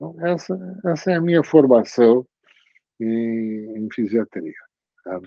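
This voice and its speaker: Pausing long and often at a very slow pace, a man speaks at a medium pitch with very wide pitch swings and big swings in loudness. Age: 70s. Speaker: retired physician (physiatrist). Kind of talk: oral history interview. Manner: halting, with many fillers and restarts.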